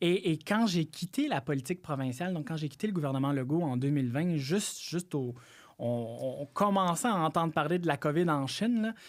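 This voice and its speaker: A man with a Quebec accent, fairly high in pitch, with lively intonation and a moderate pace, in a very clean recording over a silent background. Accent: Québécois French. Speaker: political analyst. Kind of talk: podcast interview. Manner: halting, many repetitions.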